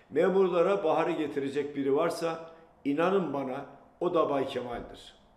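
A man talks at a fairly slow pace with ordinary pitch variation. Room echo is audible. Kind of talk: political address to camera. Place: home room.

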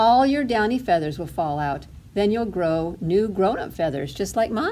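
A natural reading voice carries the text. Its intonation is lively.

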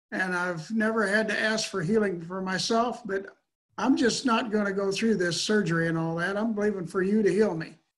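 With fairly even intonation and a fairly quick pace, a man speaks in a high voice against a quiet background. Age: 70s. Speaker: retired mechanical engineer; guest. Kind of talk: testimony. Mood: earnest, reflective. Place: home room. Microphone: webcam.

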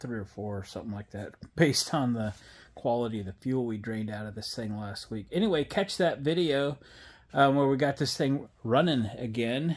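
Male speech with big swings in loudness, delivered at a moderate pace. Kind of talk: casual vlog chat. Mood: relaxed, upbeat. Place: garage.

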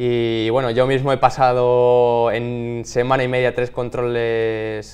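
A man speaks at a very slow pace in a medium pitch. His intonation is flat and monotone, with hardly any pauses. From Spain, Salamanca province; Spain. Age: 20s. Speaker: athlete; interviewee. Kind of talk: interview. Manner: halting, with many repeated words. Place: studio.

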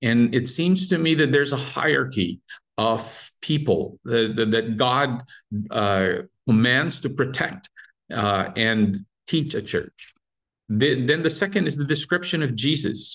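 Lively intonation carries this fairly slow delivery against a quiet background. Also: man. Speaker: Bible study teacher. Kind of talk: lecture. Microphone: video call.

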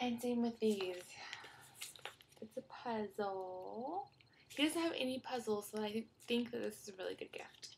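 Soft-spoken, a woman talks at a fairly slow pace with ordinary pitch variation and long, frequent pauses. Her loudness swings a lot, over light background noise. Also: fairly high pitch for a woman. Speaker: vlogger mom. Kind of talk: casual vlog haul. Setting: child's playroom at home. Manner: soft-spoken, talking quietly. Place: home room. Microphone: webcam.

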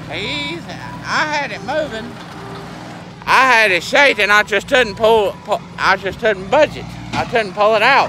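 A man with a Southern US accent uses a raised, projected voice, high in pitch with ordinary variation, at a fairly slow pace, the sound dry with no echo over light background noise. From US South. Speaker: farmer and video blogger. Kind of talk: casual vlog narration. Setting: outdoors. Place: open country. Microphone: phone near.

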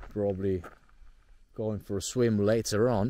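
A man's voice, dry with no echo. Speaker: travel vlogger. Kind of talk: casual vlog chat. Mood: relaxed, pleased. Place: open country. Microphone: phone near.

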